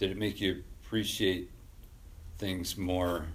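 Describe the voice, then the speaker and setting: Here is a man with a very deep, low pitch. His voice is somewhat breathy. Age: 40s. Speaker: podcast host. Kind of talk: casual interview chat. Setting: garage.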